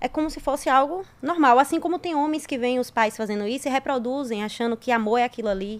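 With hardly any pauses, a woman speaks at a very fast pace and a high pitch. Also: ordinary pitch variation. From Brazil, interior of Bahia. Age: 30s. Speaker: civil engineer, guest. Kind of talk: casual chat.

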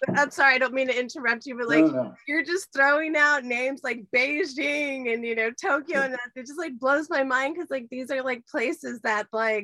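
Her voice is raised and projected, high in pitch, with an enthusiastic tone. This woman keeps a moderate pace with hardly any pauses and ordinary pitch variation. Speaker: livestream show host. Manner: enthusiastic, effusive.

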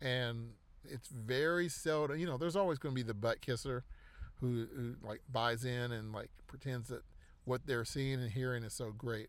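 Here is a man with an ordinary speaking voice at a medium pitch. His pace is moderate and his pitch variation is ordinary. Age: 40s. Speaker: podcast host. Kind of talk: casual monologue. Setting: in a car.

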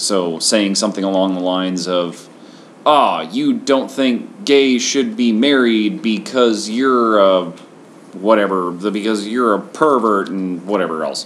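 A man with an American accent and a fairly low pitch, talking at a fairly slow pace amid noticeable background noise. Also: ordinary pitch variation. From Washington State, US. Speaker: podcast host. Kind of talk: casual chat.

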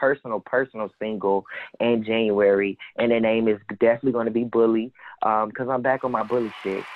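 Talking at a fairly quick pace, the speaker has an American accent and monotone, flat intonation. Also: man. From Jacksonville, Florida. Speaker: rapper. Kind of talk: casual chat.

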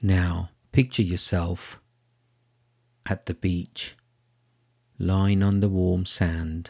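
A man speaks at a very slow pace with a very deep, low pitch and a dark, mellow, calm, soothing tone. His intonation is fairly even, with long, frequent pauses against a quiet background. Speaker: meditation guide. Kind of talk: guided meditation. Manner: slow, calm and soothing, with long pauses; soft-spoken.

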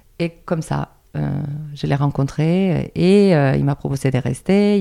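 Here is a woman's voice with a very deep, low pitch and a Spanish accent. The tone is dark and mellow. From Andalusia, Spain. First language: Spanish (speaking French). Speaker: dance teacher. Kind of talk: interview.

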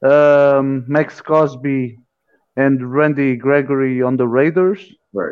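Speaking with a Portuguese accent, the voice moves at a fairly slow pace with fairly even intonation and long, frequent pauses. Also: man, fairly high pitch for a man. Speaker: podcast co-host. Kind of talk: casual interview.

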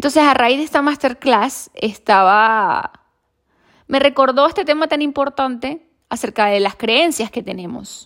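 A woman speaks at a high pitch with lively intonation and a fairly slow pace. The recording is very clean, with a silent background. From Venezuela. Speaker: podcast host. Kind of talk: solo podcast monologue. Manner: halting, many fillers and restarts.

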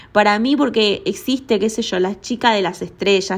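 A woman speaks at a moderate pace with a medium pitch and fairly even intonation. The recording is very clean, with a silent background. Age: 30s. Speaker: podcaster. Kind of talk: casual solo monologue.

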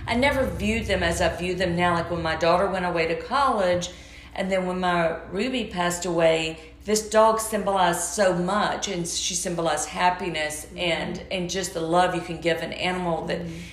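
Noticeable background noise and audible room echo fill the clip. The speaker has a Southern US accent. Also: woman, fairly low pitch for a woman, fairly quick pace. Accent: charming Southern. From US South, Georgia. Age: 50s. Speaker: interior designer, cancer survivor. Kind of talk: interview. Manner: animated.

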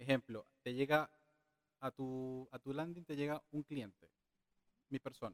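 A man speaks very slowly at a medium pitch with fairly even intonation. The sound is dry and close, with no echo. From Venezuela. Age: 30s. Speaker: digital marketing specialist. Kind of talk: casual interview.

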